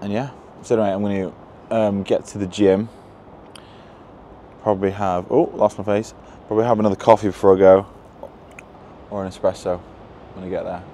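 Delivered at a fairly quick pace in a monotone, flat intonation, the speech sounds dry with no echo, over light background noise. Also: man. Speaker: fitness business coach vlogger. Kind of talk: casual vlog chat. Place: street. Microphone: lapel.

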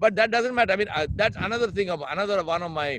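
A man with an Indian accent at a very fast pace, dry sound with no echo, light background noise. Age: 60s. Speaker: leadership consultant. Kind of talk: interview. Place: garden. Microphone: video call.

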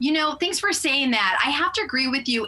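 Over noticeable background noise, a woman talks at a fairly quick pace in a raised, projected voice with lively intonation. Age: 50s. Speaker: lifestyle expert promoting a product. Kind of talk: sponsored TV interview sales pitch.

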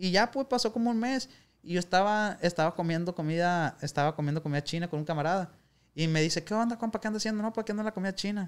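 A man with a high-pitched voice talks at a very fast pace. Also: ordinary pitch variation. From Sinaloa, Mexico (Culiacán); Sinaloa, Mexico. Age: 20s. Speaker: youtuber, former rideshare driver; youtuber. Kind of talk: casual chat. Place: studio. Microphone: studio mic.

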